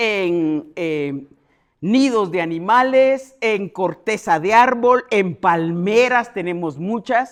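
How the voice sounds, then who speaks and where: Against a quiet background, a woman speaks at a medium pitch with lively intonation. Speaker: entomologist, university researcher. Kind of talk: keynote lecture at a congress. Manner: loud.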